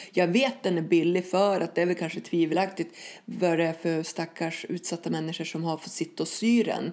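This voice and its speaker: Her tone is dark and mellow, with a fairly low pitch. The woman keeps a moderate pace. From northern Sweden, Skellefteå. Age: 40s. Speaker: activist and former addict. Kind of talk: testimony in podcast interview.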